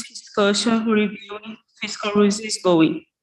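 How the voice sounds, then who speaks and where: A woman's medium-pitched voice in a Portuguese accent, fairly slow and with fairly even intonation. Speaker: economist. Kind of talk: conference presentation. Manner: halting.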